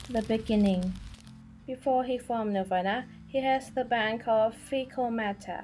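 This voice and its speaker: A woman at a moderate pace, with ordinary pitch variation and music in the background. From Thailand. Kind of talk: biography narration. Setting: home recording, poor audio quality.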